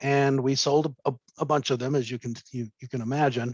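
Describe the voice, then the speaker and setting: The background stays quiet while a man talks. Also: dry sound with no echo. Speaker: business coach. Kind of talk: webinar presentation. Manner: fast. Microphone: webcam.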